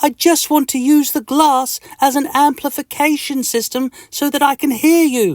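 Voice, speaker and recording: A put-on character voice comes through with a high pitch. It keeps a moderate pace with hardly any pauses. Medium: read story. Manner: bewildered.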